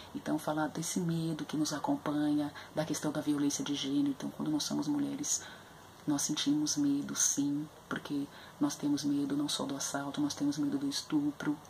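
A woman's very deep, low voice in a monotone, flat intonation at a moderate pace, with light background noise. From Brazil, São Paulo periphery (Capão Redondo). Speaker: literature educator presenting books. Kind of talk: educational book review video. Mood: earnest, thoughtful. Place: home room. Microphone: webcam.

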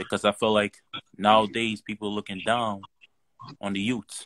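A man talks at a moderate pace in a fairly low pitch, the sound dry with no echo. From Nigeria. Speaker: caller. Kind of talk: casual chat. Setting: video call. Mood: earnest, motivated. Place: home room. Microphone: video call.

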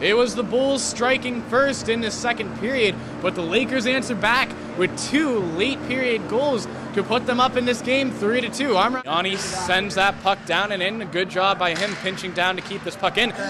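Noticeable background noise sits behind a man with a high pitch and a raised, projected voice. He speaks at a moderate pace with ordinary pitch variation. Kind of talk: live sports commentary (play-by-play). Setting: broadcast booth at a hockey game.

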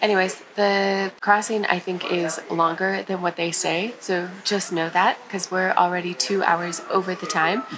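Against noticeable background noise, a woman speaks fairly slowly in a flat monotone. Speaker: travel vlogger. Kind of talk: casual vlog chat. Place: boat. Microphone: phone near.

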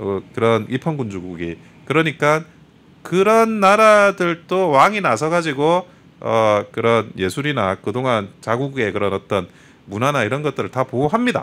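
A man talks at a fairly slow pace, his pitch making very wide swings. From South Korea, Busan; South Korea. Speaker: lawyer, political commentator. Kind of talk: talk show interview. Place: studio. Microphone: studio mic.

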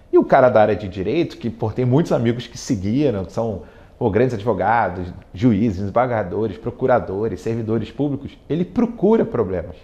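A man talks at a fairly quick pace. His loudness swings a lot, while his pitch varies in an ordinary way. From Brazil, Rio de Janeiro. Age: 40s. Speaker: tech executive and alumnus. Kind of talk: interview testimony. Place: studio. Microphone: lapel.

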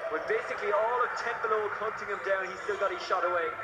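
Against loud background noise, a man talks at a very fast pace. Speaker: basketball commentator. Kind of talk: live sports commentary.

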